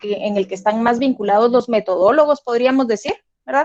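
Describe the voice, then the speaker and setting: Speaking at a fairly quick pace, a woman uses a high voice with ordinary pitch variation. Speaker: lecturer. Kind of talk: lecture. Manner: fast.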